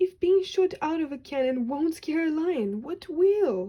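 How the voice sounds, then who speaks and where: In a squeaky, put-on character voice, the speaker moves at a fairly slow pace with very wide pitch swings. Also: woman, extremely high pitch for a woman. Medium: read story. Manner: worried.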